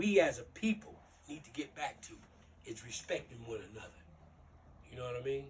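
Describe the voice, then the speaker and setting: The voice is somewhat breathy, with very wide pitch swings, big swings in loudness, and long, frequent pauses. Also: man, fairly high pitch for a man, fairly quick pace. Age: 60s. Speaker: youth mentor, former gang member. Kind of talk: motivational talk to youth. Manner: casual.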